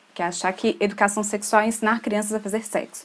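A woman speaks with an ordinary speaking voice. Her pitch is medium and her pace fairly quick. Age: 20s. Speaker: podcast co-host, photographer and mother. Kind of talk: casual discussion of a serious news topic.

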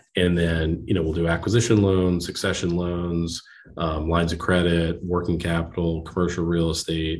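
Over audible room echo, a man with an American accent and a very deep, low voice speaks at a moderate pace in a flat monotone. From New Jersey, US. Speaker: bank lending executive. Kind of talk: interview. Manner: halting, many fillers.

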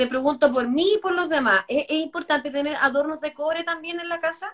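A bright, sharp tone at a moderate pace, with ordinary pitch variation. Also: woman. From Chile. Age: 40s. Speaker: healthy eating advocate and live show host. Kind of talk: casual chat.

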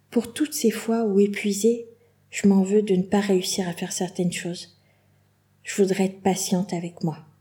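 Her voice is somewhat breathy with a dark, mellow tone, as a woman at medium pitch uses ordinary pitch variation and leaves long, frequent pauses. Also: moderate pace. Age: 40s. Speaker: podcast host, kidney patient. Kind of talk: personal monologue.

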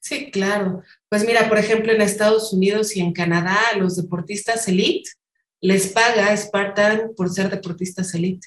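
Her pitch is medium and her intonation fairly even. The woman keeps a moderate pace. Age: 40s. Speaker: obstacle racing athlete and graphic designer. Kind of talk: interview.

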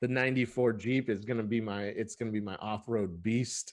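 A man with a plain, everyday voice and an American accent, medium in pitch, at a moderate pace with fairly even intonation. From Southern California (Lancaster, Antelope Valley). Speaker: IT pre-sales engineer, podcast co-host. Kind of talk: casual chat. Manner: laughs often, relaxed.

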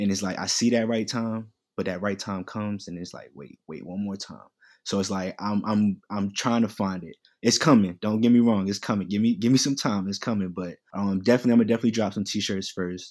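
An unremarkable speaking voice from a man, fairly low in pitch and fairly quick, with fairly even intonation and big swings in loudness, on a very clean recording with a silent background. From Queens, New York; teen years in North Carolina. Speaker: fashion entrepreneur and student. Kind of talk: casual chat.

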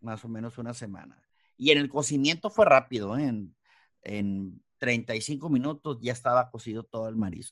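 A man speaks at a medium pitch and a moderate pace with ordinary pitch variation. His loudness swings a lot against a quiet background. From Mexicali, Baja California, Mexico. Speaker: chef. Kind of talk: interview. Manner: halting.

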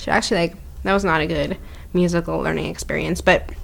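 This speaker has a Canadian accent. The pace is fairly quick. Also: woman. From Canada, Ottawa; family from Zambia. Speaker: podcast co-host. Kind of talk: casual chat.

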